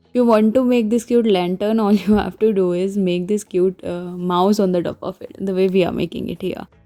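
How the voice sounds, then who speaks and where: A woman's medium-pitched voice at a fairly quick pace with hardly any pauses and fairly even intonation, over music in the background. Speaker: craft tutorial host. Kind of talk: tutorial. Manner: quiet, can't raise voice.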